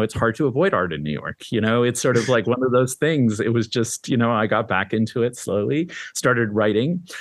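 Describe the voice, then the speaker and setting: A man's normal speaking voice, fairly quick, with ordinary pitch variation. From Canada. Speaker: art magazine editor and critic. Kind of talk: interview.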